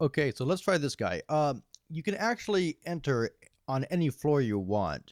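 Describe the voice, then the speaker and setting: A man's voice with very wide pitch swings and a dry, close sound with no echo. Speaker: video game reviewer. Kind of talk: game review voiceover. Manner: casual with many fillers.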